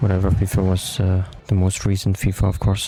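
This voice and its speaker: Very fast and very deep, a man's low voice comes through noticeable background noise. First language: German. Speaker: gaming YouTuber. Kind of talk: gameplay commentary. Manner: halting.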